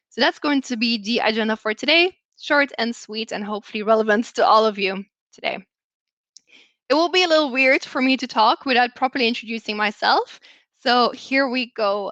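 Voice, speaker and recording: A woman with a Belgian accent and a high pitch speaks at a moderate pace in a bright, sharp tone, with ordinary pitch variation and a dry, close sound with no echo. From Belgium. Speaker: customer success manager. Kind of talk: presentation.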